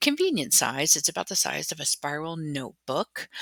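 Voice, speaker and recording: A woman speaks at a moderate pace in a very deep, low pitch with a bright, sharp tone and vocal fry, the sound dry and close with no echo. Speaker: lifestyle vlogger. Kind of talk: casual vlog talk to camera.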